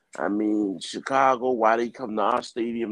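This is a man with an ordinary speaking voice, fairly low in pitch. He keeps a moderate pace and fairly even intonation. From New Jersey, US. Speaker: sports podcast panelist. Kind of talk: casual sports talk. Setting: phone call.

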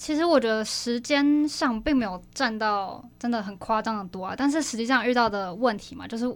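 Ordinary pitch variation at a fairly quick pace. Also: woman. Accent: Taiwanese. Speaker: university student club officer. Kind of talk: casual interview. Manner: animated.

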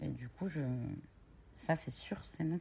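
Somewhat breathy, a woman with a very deep, low pitch speaks with lively intonation. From Normandy, France (Cherbourg). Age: 30s. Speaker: entrepreneur. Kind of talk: interview.

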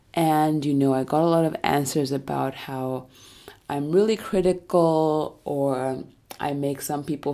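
A woman's very deep, low voice with a dark, mellow tone and a calm tone, at a fairly slow pace with ordinary pitch variation, in a very clean recording with a silent background. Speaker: podcast host. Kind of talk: solo self-help monologue.

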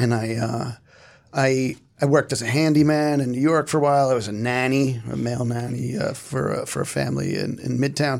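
At medium pitch and with fairly even intonation, a man speaks in an unremarkable speaking voice. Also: fairly quick pace. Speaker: TV writer. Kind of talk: roundtable panel discussion.

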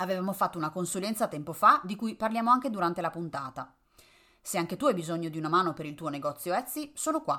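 A very fast, bright, sharp voice with lively intonation on a very clean recording with a silent background. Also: woman, medium pitch for a woman. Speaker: podcast host and Etsy consultant. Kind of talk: casual chat. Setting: recorded Instagram live. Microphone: poorly placed microphone, mediocre audio.

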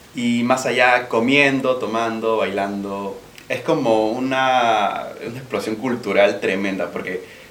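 At a very slow pace, a man with a medium pitch and fairly even intonation talks amid noticeable background noise and audible room echo. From Peru. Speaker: podcast co-host. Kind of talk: casual chat.

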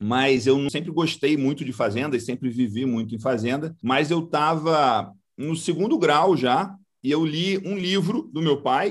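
This man has a plain, everyday voice with fairly high pitch. His intonation shows ordinary pitch variation. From Brazil, Goiás. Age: 40s. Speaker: agribusiness entrepreneur. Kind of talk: interview.

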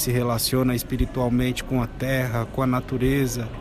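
Noticeable background noise sits behind this recording. A man talks at a moderate pace with a medium pitch. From São Paulo, Brazil (Guarani Mbyá community). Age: 30s. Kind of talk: interview testimony.

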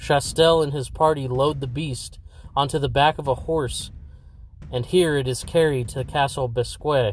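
Fairly even intonation from a man with a fairly high, somewhat breathy voice at a moderate pace. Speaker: podcast host.

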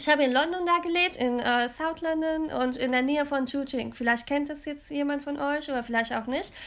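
Over noticeable background noise, a woman with a high pitch speaks at a fairly quick pace, her intonation fairly even and hardly any pauses. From Germany, Cologne. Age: 20s. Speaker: podcast co-host. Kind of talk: casual chat.

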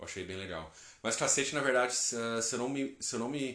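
A man speaks in an animated tone with ordinary pitch variation, and audible echo fills the room. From interior of São Paulo state, Brazil. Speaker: travel podcaster. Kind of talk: casual storytelling monologue. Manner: animated, slangy.

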